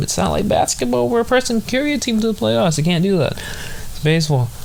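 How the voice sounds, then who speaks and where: Background noise is noticeable throughout. Over it, a man talks with lively intonation. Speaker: sports podcast host. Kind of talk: casual chat. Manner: halting, many fillers.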